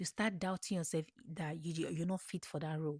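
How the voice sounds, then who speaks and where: A woman with an African accent talks very fast in a somewhat breathy voice. The sound is dry and close with no echo, on a very clean recording with a silent background. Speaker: podcast host, motivational speaker. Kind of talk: motivational talk. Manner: animated.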